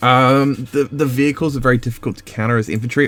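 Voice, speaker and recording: Here a man is talking. He has an Australian accent. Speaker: gaming youtuber. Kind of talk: rant review. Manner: fast; hesitant, many fillers.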